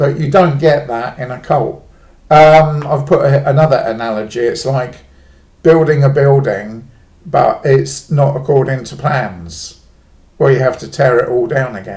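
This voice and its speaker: Amid audible room echo, a man speaks fairly slowly in a somewhat breathy voice with ordinary pitch variation and big swings in loudness. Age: 50s. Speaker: former cult member. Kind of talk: personal monologue vlog. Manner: casual, hesitant with fillers.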